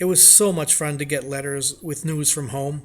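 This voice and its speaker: Here is a man with a fairly high pitch and a somewhat breathy voice. He talks at a moderate pace with ordinary pitch variation. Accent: American. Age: 80s+. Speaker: war veteran. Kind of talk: reading aloud.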